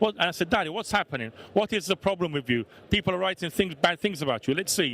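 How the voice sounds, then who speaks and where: A man's high-pitched voice in a Neapolitan accent, very fast and animated, with lively intonation and a dry, close sound with no echo. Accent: Italian (Neapolitan) accent in English. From Italy, Naples. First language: Italian. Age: 40s. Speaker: bar owner. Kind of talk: talk to an audience.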